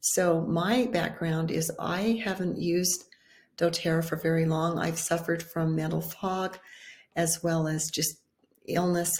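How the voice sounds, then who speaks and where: Breathy to some degree, a woman speaks at a fairly low pitch. Her pace is fairly slow and her intonation monotone and flat. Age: 60s. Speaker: wellness video host. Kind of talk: informal talk to camera.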